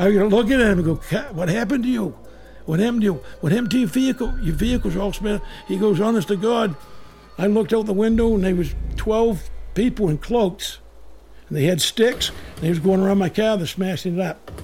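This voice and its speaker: Fairly quick speech from a high-pitched man, with ordinary pitch variation, long, frequent pauses and music in the background. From Maine. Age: 60s. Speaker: retired Coast Guard lighthouse keeper. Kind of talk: personal ghost story recollection. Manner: halting, repeating words.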